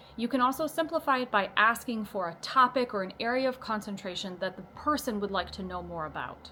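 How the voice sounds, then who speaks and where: Her voice is fairly high for a woman, with a bright, sharp tone and lively intonation. She speaks with hardly any pauses. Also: fairly quick pace. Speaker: psychic medium and intuition teacher. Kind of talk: tutorial. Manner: fast.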